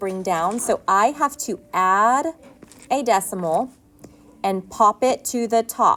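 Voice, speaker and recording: With a plain, everyday voice, a woman speaks at a fairly high pitch and fairly slow pace, her intonation lively. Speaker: schoolteacher. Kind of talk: lesson. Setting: recorded whiteboard lesson.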